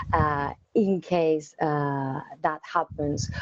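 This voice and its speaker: With a Spanish accent, a woman speaks in a monotone, flat intonation, the sound dry and close with no echo. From Spain. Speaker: technical account manager, cloud engineer. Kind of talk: interview Q&A. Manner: hesitant, many fillers and repetitions.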